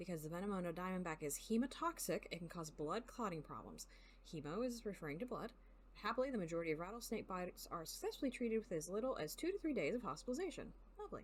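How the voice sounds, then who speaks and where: A woman speaks at a very fast pace with lively intonation. Her voice is somewhat breathy. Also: medium pitch for a woman. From US South. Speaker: video game streamer. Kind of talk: live gaming stream, reading game text aloud.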